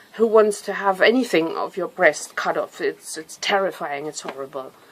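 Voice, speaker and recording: A woman with a German accent. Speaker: nutrition coach, cancer survivor. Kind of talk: personal testimony. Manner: halting, with fillers.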